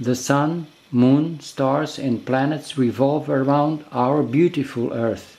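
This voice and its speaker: Speaking at a very slow pace, a man with a non-native accent has a fairly high pitch, a dark, mellow tone and fairly even intonation. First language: not English. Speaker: video creator. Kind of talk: narrated explainer video.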